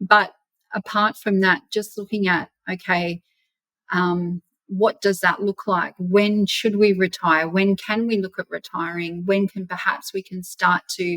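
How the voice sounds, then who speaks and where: With an Australian accent, a woman talks at a fairly slow pace in a bright, sharp tone at medium pitch, her intonation monotone and flat, the sound dry and close with no echo. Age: 50s. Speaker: property investor. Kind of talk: interview.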